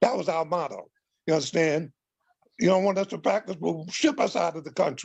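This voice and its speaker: A man with a high-pitched voice talks at a fairly quick pace with ordinary pitch variation. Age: 70s. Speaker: community elder, former movement member. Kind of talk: panel discussion.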